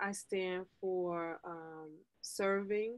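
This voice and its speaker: A woman's voice over a quiet background. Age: 50s. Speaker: life coach; podcast guest, life coach. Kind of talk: casual interview. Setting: video call. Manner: animated. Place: home room. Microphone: video call.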